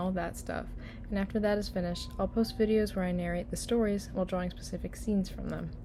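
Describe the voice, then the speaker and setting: A woman speaks at a fairly quick pace amid audible room echo. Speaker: digital artist and channel creator. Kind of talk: voiceover narration over speed paint. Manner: low-energy, unenthusiastic.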